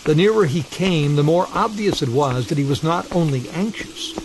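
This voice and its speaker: Through noticeable background noise, a man with a high pitch speaks at a moderate pace with lively intonation. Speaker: narrator of ghost stories. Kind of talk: ghost story narration, classic literary horror reading.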